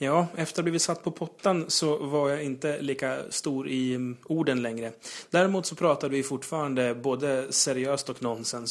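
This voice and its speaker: A man has a plain, everyday voice, fairly high in pitch with ordinary pitch variation. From Sweden, Uppsala. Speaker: gaming podcast host. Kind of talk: casual chat.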